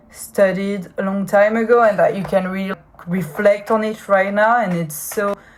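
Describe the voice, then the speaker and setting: The speaker has a strong French accent and a somewhat breathy voice, with fairly even intonation at a moderate pace. The recording is very clean, with a silent background. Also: woman. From France. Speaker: podcaster. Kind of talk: personal podcast monologue. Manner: halting, frequent fillers and repetitions.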